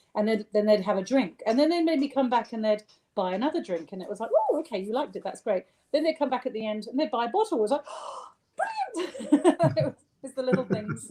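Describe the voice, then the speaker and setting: A high-pitched woman's voice at a very fast pace, with very wide pitch swings. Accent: southern English. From southern England (rural Sussex). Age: 50s. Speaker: gin distiller. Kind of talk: interview.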